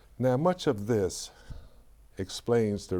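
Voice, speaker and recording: On a very clean recording with a silent background, a man with an American accent speaks in a dark, mellow tone with ordinary pitch variation. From US South, Atlanta. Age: 70s. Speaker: historian, former professor. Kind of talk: interview. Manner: halting.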